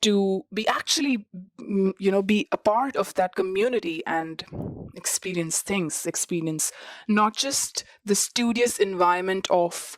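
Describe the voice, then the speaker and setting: With a non-native accent, a woman at medium pitch speaks at a fairly slow pace and ordinary pitch variation, in a dry, close sound with no echo. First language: not English. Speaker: student podcast host. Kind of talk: personal podcast monologue. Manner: conversational with fillers.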